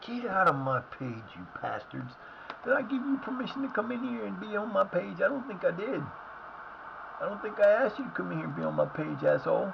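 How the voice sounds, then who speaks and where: A man puts on a gruff, hoarse character voice at a high pitch and fairly quick pace. Background noise is clear. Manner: angry, confrontational.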